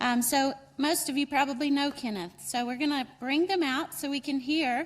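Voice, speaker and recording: In a North Carolina accent, a woman talks at a moderate pace with a high pitch and ordinary pitch variation. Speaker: program director and event organizer. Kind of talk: welcome speech at conference.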